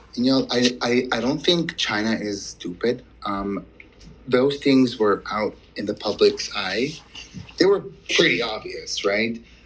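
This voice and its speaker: Music plays in the background of this fairly slow delivery. The pitch variation is ordinary. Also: man, medium pitch for a man. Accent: non-native. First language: not English. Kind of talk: casual chat. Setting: audio chat room.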